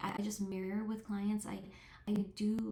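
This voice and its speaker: At a moderate pace, a woman talks in a fairly high, somewhat breathy voice with a dark, mellow tone. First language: not English. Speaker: therapist. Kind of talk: interview monologue. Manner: halting, many fillers and restarts.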